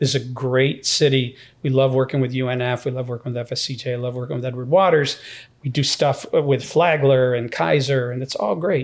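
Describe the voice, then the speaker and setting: With an American accent, a man talks at a fairly quick pace and a medium pitch in a plain, everyday voice. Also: fairly even intonation. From upstate New York (Syracuse). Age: 60s. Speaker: university president. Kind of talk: podcast interview.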